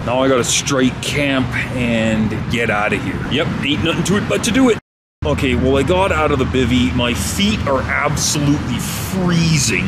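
Loud background noise beneath a man's moderate pace. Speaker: camping vlogger. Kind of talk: casual vlog chat. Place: forest. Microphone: phone near.

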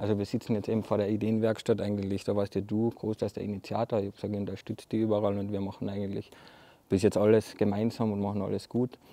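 Very fast and monotone, a man with a fairly low voice and a dark, mellow tone is heard in a dry recording with no echo. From Carinthia, Austria. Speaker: architect. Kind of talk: casual interview chat. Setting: outdoors in front of a hall. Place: hall.

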